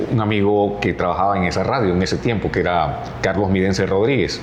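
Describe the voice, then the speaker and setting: Audible echo from the room mixes with noticeable noise behind the sound. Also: man. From Honduras, Choluteca (south). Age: 60s. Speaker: radio announcer. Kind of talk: interview.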